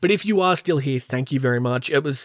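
A man talks at a very fast pace. He has an Australian accent. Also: very clean recording, silent background. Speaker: podcast host. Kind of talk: casual solo podcast monologue. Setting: home recording with pop filter mic. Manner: laughs often.

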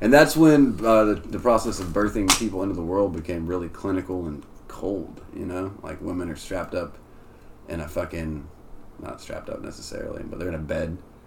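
A man with a very deep, low pitch talks at a fairly quick pace, using lively intonation and big swings in loudness, with audible room echo around him. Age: 20s. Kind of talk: casual chat.

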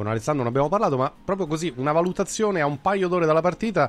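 A man at a very fast pace, with lively intonation. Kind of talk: sports talk radio. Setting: studio.

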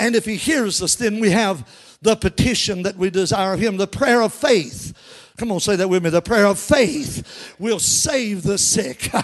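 A man's high-pitched, animated voice in a Kentucky accent, fairly slow, with lively intonation. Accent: US Southern (Kentucky). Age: 60s. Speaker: pastor. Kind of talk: sermon.

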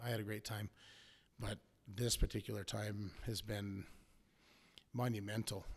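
In an American accent, a man speaks at a moderate pace in a somewhat breathy voice with monotone, flat intonation. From US Southwest (Arizona). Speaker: hunter and welder. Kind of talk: casual interview.

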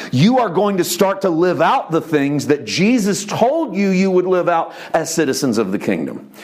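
A man's high-pitched, animated voice with lively intonation, very even loudness and hardly any pauses, over noticeable background noise. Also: moderate pace. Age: 40s. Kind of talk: sermon. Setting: church.

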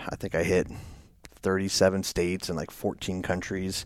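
A man with an American accent has a plain, everyday voice, fairly low in pitch and at a fairly quick pace. The recording is very clean, with a silent background. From Northern Virginia, US. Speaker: federal special agent, former soldier. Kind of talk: interview conversation.

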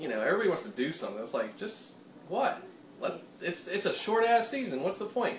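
Noticeable background noise runs under this recording. A man speaks very fast with a slight Pittsburgh accent. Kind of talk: casual chat while cooking. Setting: home kitchen.

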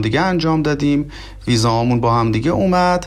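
With an ordinary speaking voice, a man talks at a fairly high pitch with lively intonation. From southwestern Iran, oil region. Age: 30s. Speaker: immigrant master's student. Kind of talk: interview. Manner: polite, formal.

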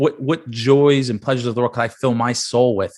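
A man's normal speaking voice at a medium pitch with an American accent, fairly quick in pace, over a quiet background. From New York City, Staten Island. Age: 20s. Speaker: author and construction business developer. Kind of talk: interview.

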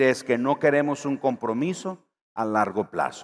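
A man speaks in an animated tone at a fairly slow pace. His pitch varies in an ordinary way. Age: 50s. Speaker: pastor. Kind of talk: sermon.

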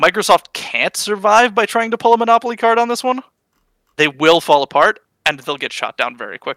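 On a very clean recording with a silent background and a dry, close sound with no echo, a man uses a raised, projected voice, high in pitch and bright and sharp in tone, talking at a fairly quick pace with lively intonation. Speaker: gaming podcast co-host. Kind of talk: casual chat.

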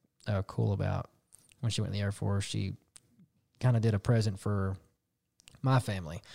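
A man's fairly low, dark, mellow voice, somewhat breathy, at a fairly quick pace, with a dry, close sound and no echo. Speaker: podcast co-host. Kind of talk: casual chat.

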